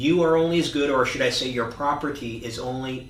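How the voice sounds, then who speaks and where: Noticeable noise behind a man talking at a fairly quick pace. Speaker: real estate agent. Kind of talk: market update monologue. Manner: fast.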